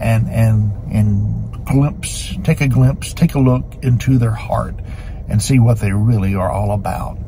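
A man talks over noticeable background noise. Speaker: pastor. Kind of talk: short devotional talk. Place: car. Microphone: phone near.

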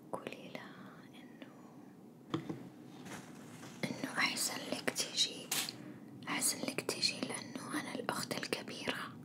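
A soft-spoken woman at a fairly slow pace, with long, frequent pauses and loud background noise. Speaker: role-play host. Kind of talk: ASMR role-play chat. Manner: soft intimate ASMR murmur.

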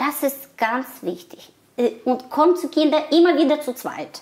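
A woman with a Russian accent, a high pitch and very wide pitch swings, at a fairly slow pace. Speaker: migrant guest; guest. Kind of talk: casual interview. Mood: warm, animated. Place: home room. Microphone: lapel.

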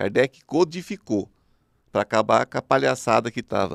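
A man with vocal fry speaks at a moderate pace. The sound is dry with no echo over a quiet background. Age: 50s. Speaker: spiritual medium; podcast guest. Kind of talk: interview. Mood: calm, explanatory. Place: studio. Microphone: studio mic.

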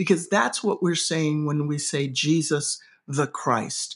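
A woman talks at a very deep, low pitch with ordinary pitch variation. The background is quiet. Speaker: seminary professor, podcast co-host. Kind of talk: casual scholarly discussion of scripture. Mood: earnest, thoughtful. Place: home room. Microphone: video call.

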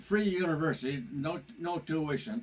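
His pitch is high for a man, with lively intonation. The man keeps a moderate pace. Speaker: storyteller recalling his past. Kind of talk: casual reminiscing, oral history. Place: home room. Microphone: camera far.

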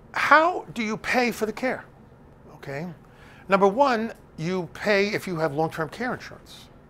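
With an American accent, a man speaks at a high pitch in a bright, sharp tone. He leaves long, frequent pauses. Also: lively intonation, moderate pace. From New Jersey (Bergen County); New Jersey. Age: 70s. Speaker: elder law attorney. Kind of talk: lecture. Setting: stage with audience. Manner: conversational, with many filler words. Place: classroom.

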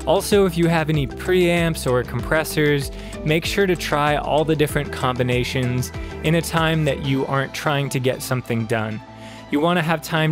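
The voice moves at a moderate pace with ordinary pitch variation. It sounds dry with no echo, over clear background music. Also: man. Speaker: presenter. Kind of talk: tutorial. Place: studio. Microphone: studio mic.

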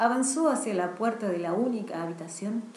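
Someone reads aloud in a natural voice.

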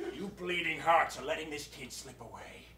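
Light background noise and audible room echo come with a man as he speaks. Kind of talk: theatrical comic performance, voicing several characters. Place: stage. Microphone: camera far.

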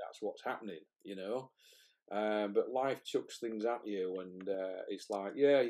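A man with a normal speaking voice, fairly low in pitch, with ordinary pitch variation and a fairly slow pace. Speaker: podcast guest or host. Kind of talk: podcast interview host. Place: home room.

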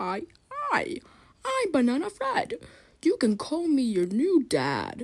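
High-pitched and cartoonish, a character voice speaks at a very slow pace. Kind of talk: comedic puppet skit. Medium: puppet show. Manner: cheery, goofy. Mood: silly, playful.

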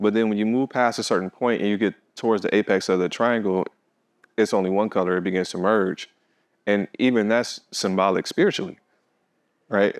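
Against a quiet background, a man talks with fairly even intonation and long, frequent pauses. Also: fairly quick pace. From Detroit, Michigan, US; Michigan. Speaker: visual artist; interviewee. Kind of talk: interview. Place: hall.

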